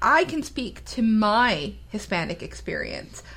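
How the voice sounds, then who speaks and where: A woman speaks with an American accent, her pitch swinging very widely. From US, Mexican American. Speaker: podcast co-host. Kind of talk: casual chat.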